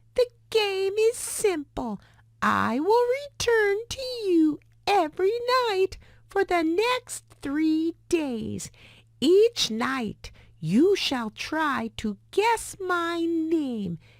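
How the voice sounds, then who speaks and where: Using a put-on character voice, a woman talks very slowly in an extremely high, squeaky voice with very wide pitch swings. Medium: read story. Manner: sly, gleeful.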